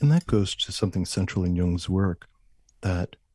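Over a quiet background, a man with an American accent speaks at a very deep, low pitch in a dark, mellow, somewhat breathy tone with ordinary pitch variation, the sound dry and close with no echo. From New York, Long Island. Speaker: Jungian analyst. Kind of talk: interview conversation.

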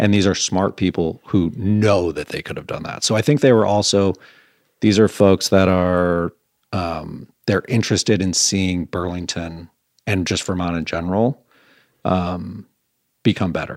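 The speaker, in an Upper Midwest accent, talks at a fairly slow pace with fairly even intonation. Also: man, very deep, low pitch for a man. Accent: Upper Midwest American. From Michigan, Grosse Pointe near Detroit. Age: 40s. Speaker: restaurant owner. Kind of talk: casual interview.

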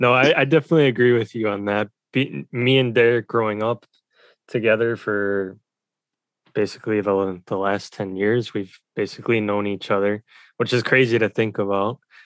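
A man with a plain, everyday voice speaks at a moderate pace in a fairly low pitch with fairly even intonation. The sound is dry and close with no echo over a quiet background. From United States. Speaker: podcast co-host. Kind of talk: casual chat.

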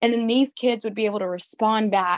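A woman with a Southern US accent and fairly high pitch, at a moderate pace, in a dry, close sound with no echo. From Mississippi. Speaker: beauty pageant titleholder. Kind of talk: interview.

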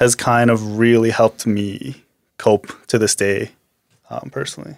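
With a western Canadian accent, a man talks in a monotone, flat intonation, the sound dry and close with no echo. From Canada, Alberta (Medicine Hat), born in Korea. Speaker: former baseball player. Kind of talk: personal testimony in casual conversation.

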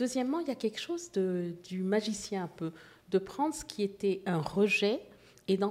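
A woman at medium pitch and a moderate pace, with very wide pitch swings. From Haiti and Morocco (Casablanca). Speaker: visual artist. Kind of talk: interview.

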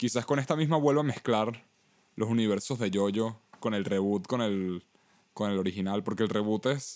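On a very clean recording with a silent background, a man with a Venezuelan accent talks at a moderate pace with very even loudness, a fairly low pitch and ordinary pitch variation. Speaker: podcast co-host. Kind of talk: casual chat.

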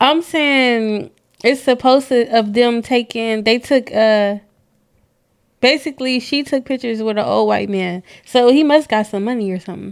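Pitched fairly high, a woman speaks at a moderate pace with ordinary pitch variation. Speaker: podcast host. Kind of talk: casual chat.

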